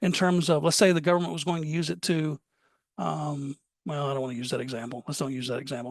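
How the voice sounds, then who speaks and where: Speech comes at a fairly quick pace in an American accent. The background is quiet. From US South, Alabama. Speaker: cybersecurity compliance presenter. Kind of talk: webinar presentation. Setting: online webinar. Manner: fast.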